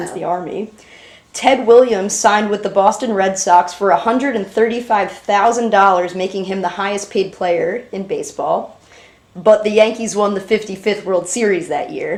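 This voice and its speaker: A woman speaks at a moderate pace with a medium pitch and fairly even intonation. It is a plain, everyday voice. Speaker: interviewer, granddaughter. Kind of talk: interview questions.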